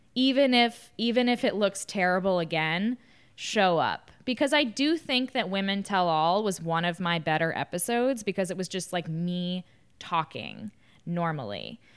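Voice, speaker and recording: In a normal speaking voice, a woman with an American accent talks at a moderate pace and medium pitch with lively intonation, on a very clean recording with a silent background. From US South. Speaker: podcast host, former reality TV contestant. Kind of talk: casual interview.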